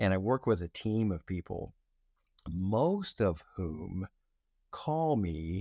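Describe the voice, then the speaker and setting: A man with a dark, mellow tone and fairly low pitch speaks very slowly, using lively intonation and long, frequent pauses. The recording is very clean, with a silent background and a dry, close sound without echo. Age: 70s. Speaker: retired pastor. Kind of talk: casual interview. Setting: podcast interview. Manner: reflective, vulnerable.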